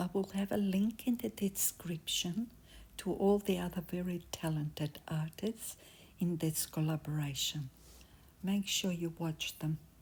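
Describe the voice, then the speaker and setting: The speaker has a non-native accent and talks at a fairly slow pace. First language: not English. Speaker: resin crafter / craft YouTuber. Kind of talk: craft tutorial. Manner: casual, halting.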